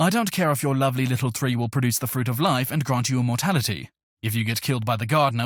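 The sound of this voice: An unforced reading voice, its pitch moving in an ordinary way, is heard against a quiet background.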